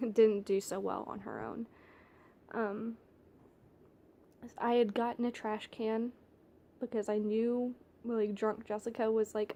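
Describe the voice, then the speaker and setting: A woman's fairly high voice with a dark, mellow tone, a fairly slow pace and long, frequent pauses. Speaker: vlogger. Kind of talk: personal confession vlog. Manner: casual, halting with many fillers; less bubbly than usual.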